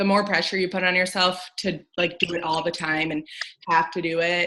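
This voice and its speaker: Fairly quick speech comes from a woman with a fairly low pitch. Her intonation is monotone and flat. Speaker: Instagram influencer. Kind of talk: casual chat. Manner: mellow; hesitant.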